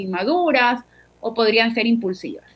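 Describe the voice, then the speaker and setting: A woman talks at a high pitch with ordinary variation in her pitch. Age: 40s. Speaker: psychologist. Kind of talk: interview.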